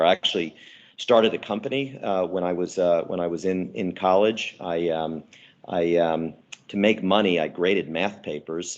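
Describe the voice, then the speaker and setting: Against a quiet background, a man with a very deep, low pitch and an American accent speaks at a moderate pace with fairly even intonation. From New Jersey, Irvington. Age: 60s. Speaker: entrepreneur and investor. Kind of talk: casual interview.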